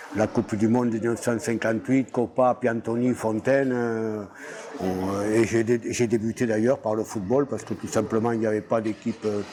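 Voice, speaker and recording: Against noticeable background noise, a man talks at a moderate pace in a monotone, flat intonation. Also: medium pitch for a man. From southwest France, Gers (Mirande). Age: 80s+. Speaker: retired rugby coach. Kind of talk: interview, life story. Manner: halting, many hesitations.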